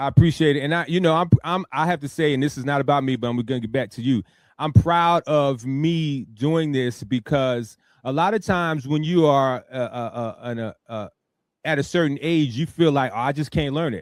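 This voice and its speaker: In a normal speaking voice, a man talks with a fairly high pitch and ordinary pitch variation. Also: moderate pace. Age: 50s. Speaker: radio talk show host. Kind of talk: casual interview chat.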